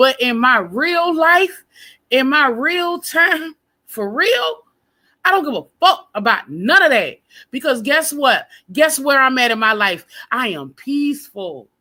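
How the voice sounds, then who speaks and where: A woman's high, bright, sharp, raised and projected voice with very wide pitch swings at a very slow pace, on a very clean recording with a silent background. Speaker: live stream panel host. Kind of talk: casual panel chat. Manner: loud.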